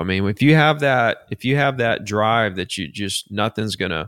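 Recorded dry and close with no echo, a man with a Southern US accent and a fairly low pitch speaks with lively intonation. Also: very clean recording, silent background. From Alabama. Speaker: real estate agent. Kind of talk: interview.

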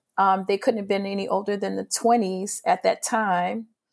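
A woman with a New Orleans accent speaks at a moderate pace and medium pitch with fairly even intonation, on a very clean recording with a silent background. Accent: New Orleans Southern US. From New Orleans, Louisiana (born in Mississippi). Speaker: arts director and choreographer. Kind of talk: interview conversation.

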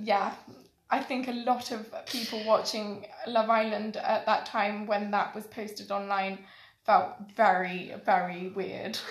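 The speaker is somewhat breathy, with monotone, flat intonation and a fairly slow pace. Room echo is audible. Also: woman, fairly high pitch for a woman. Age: 20s. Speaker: podcast guest. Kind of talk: casual chat.

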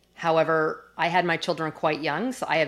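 A woman with a Canadian accent, very deep and low in pitch, at a fairly quick pace. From Canada, Calgary. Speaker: corporate executive and speaker. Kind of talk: interview conversation.

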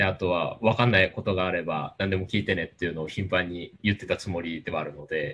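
A man's very deep, low voice at a very fast pace with hardly any pauses. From Japan, Kagoshima. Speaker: leader of a space outreach group. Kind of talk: casual interview. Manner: halting with many fillers.

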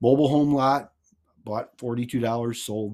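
A man with an American accent, a plain, everyday voice, medium pitch, ordinary pitch variation and a fairly slow pace. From Missouri. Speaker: real estate investor and author. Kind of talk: reading aloud from own book.

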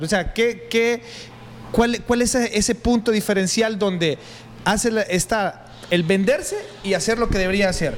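A man speaks at a fairly slow pace with a Honduran accent, his pitch high for a man and his loudness very even. Long, frequent pauses break up his speech over noticeable background noise. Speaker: youtuber and interviewer. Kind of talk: casual interview.

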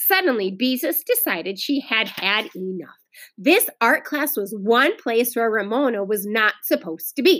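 A natural reading voice, full of lively intonation, comes through against a quiet background.

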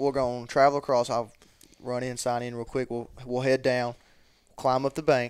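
A man speaks at a moderate pace with a Southern US accent. His medium pitch stays monotone, with flat intonation. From Mississippi (Columbus). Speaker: college student and duck hunter. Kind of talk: casual chat.

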